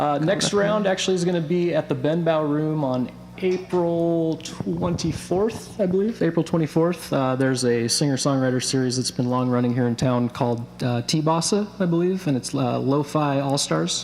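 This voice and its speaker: Soft-spoken, a man with an American accent talks at a moderate pace and a fairly high pitch, with ordinary pitch variation and hardly any pauses. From US Pacific Northwest, Bellingham, Washington. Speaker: singer-songwriter. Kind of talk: interview. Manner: halting. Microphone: too far from the mic.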